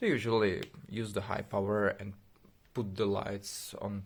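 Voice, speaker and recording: A man with a non-native accent and a fairly low, somewhat breathy voice talks at a fairly slow pace. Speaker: tech project developer. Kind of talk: casual video explanation. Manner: halting, many fillers.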